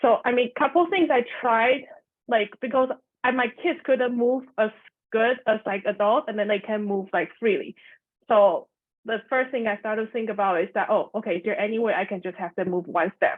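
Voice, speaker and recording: A woman with a Chinese accent speaks at a moderate pace. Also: fairly high pitch for a woman, ordinary pitch variation. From Taiwan. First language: Mandarin Chinese. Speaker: elementary music teacher. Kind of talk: video call meetup sharing.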